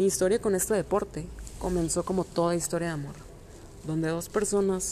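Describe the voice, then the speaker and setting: Her voice fairly low with a dark, mellow tone, a woman speaks at a moderate pace and with fairly even intonation. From Mexico, Monterrey. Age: 20s. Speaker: amateur runner. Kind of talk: scripted narration.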